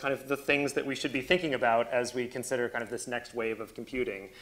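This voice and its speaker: This is a man speaking. His tone is bright and sharp. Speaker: speaker. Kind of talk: lecture. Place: hall. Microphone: lapel.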